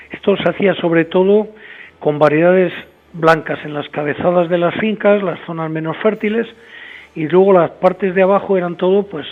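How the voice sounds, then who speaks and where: This man talks at a moderate pace with a high pitch. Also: fairly even intonation. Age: 60s. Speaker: winemaker. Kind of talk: interview. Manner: hesitant, many fillers.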